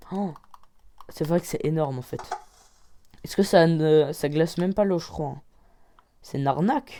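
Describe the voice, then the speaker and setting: With a dark, mellow tone and a very deep, low pitch, a woman talks with ordinary pitch variation, big swings in loudness, and long, frequent pauses. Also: moderate pace. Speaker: Minecraft gaming YouTuber. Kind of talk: gameplay commentary. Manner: animated.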